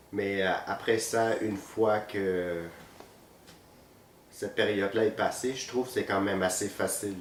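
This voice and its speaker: Pausing long and often, a man speaks fairly slowly at a fairly low pitch with monotone, flat intonation. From Vietnam, moved to Quebec at 14. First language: Vietnamese (speaking French). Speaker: physiotherapist. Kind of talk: interview. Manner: hesitant, many fillers.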